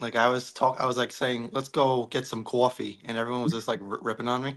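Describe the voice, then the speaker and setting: Delivered at a very fast pace, a man's medium-pitched speech stays monotone and flat. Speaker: novelist. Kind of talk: casual chat.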